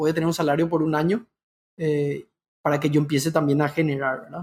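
A man talks at a fairly quick pace in a monotone, with flat intonation. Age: 30s. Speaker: entrepreneur. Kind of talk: interview.

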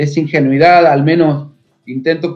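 A man's normal speaking voice, fairly high in pitch, with fairly even intonation. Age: 40s. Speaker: folk dancer and dance teacher. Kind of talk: interview.

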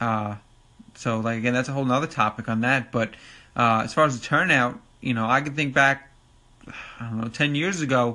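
A man with a Long Island accent speaks at a moderate pace, medium in pitch with ordinary pitch variation and a bright, sharp tone. The recording is very clean, with a silent background. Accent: New York (Long Island). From Long Island, New York. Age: 30s. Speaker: podcast host and ATV racing enthusiast. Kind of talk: casual solo podcast monologue. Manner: casual, filler-heavy, informal.

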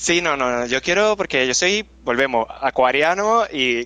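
A man with a Puerto Rican accent speaks with lively intonation. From Puerto Rico. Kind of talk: casual interview.

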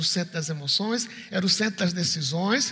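A man's raised, projected voice, high in pitch, with ordinary pitch variation and noticeable background noise. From Recife, Brazil. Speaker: pastor. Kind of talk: sermon. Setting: church.

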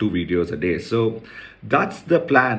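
Audible room echo follows a man speaking at a fairly low pitch. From India, Chennai. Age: 40s. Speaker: podcast host, entrepreneur. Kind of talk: personal monologue podcast.

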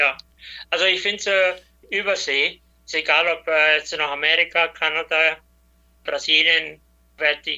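Monotone and flat in intonation, a man talks with a fairly high pitch. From Batschka region, Serbia (Danube Swabian). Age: 70s. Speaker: former president of a cultural federation. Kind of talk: interview. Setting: WhatsApp call.

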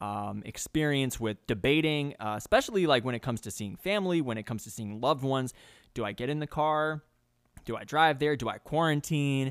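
In an American accent, a man with an ordinary speaking voice talks at a fairly quick pace and medium pitch, his intonation lively and his loudness swinging widely, on a very clean recording with a silent background. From New York. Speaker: podcast host. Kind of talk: casual podcast chat.

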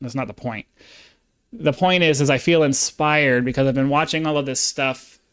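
A man with an American accent talks at a fairly high pitch in a very clean recording with a silent background. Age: 40s. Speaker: YouTuber and Marine veteran. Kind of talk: casual monologue vlog. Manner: halting.

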